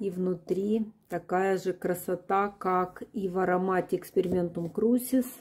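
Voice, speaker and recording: Her delivery is very slow. The pitch stays fairly level throughout. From Ukraine. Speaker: perfume reviewer. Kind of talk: product review, video blog. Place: home room.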